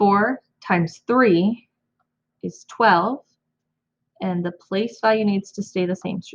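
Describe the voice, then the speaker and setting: Somewhat breathy and medium in pitch, a woman's voice moves at a very slow pace. Her pitch varies in an ordinary way. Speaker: elementary school teacher. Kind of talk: math tutorial for kids. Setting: home recording, own room.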